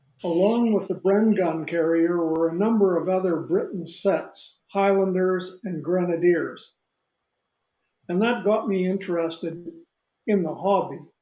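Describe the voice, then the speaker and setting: With audible room echo, a man talks at a fairly slow pace in a high pitch and fairly even intonation. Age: 80s+. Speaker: retired army general and collector. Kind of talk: interview, reminiscing. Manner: unhurried, with filler words.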